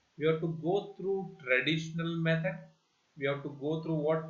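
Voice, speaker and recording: Audible room echo surrounds the recording. A man talks at a fairly high pitch with ordinary pitch variation. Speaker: bank exam coach. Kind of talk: tutorial. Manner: slow, repetitive explanation.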